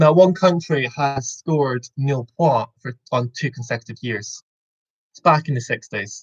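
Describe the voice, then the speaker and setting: Somewhat breathy speech at a fairly slow pace, with big swings in loudness, ordinary pitch variation, and dry, close sound with no echo. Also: man. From Scotland, Aberdeen. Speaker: quiz host. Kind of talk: online quiz hosting. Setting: video call.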